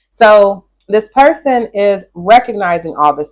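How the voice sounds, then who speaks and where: A woman's medium-pitched, an ordinary speaking voice with lively intonation. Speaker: tarot reader. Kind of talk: tarot reading.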